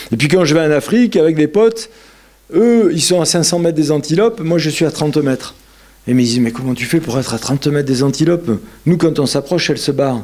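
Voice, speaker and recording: A man's fairly high voice with lively intonation, over noticeable background noise. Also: fairly quick pace. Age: 60s. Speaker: yoga lecturer. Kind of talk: lecture. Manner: animated.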